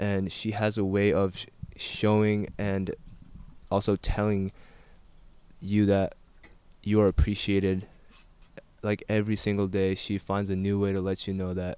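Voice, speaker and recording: At a moderate pace with long, frequent pauses, a man speaks in a fairly low pitch with a dark, mellow tone and monotone, flat intonation. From South India (Tibetan community in Mysore), moved to US at 8. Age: 20s. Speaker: soccer player. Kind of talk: casual interview. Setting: at home over dinner.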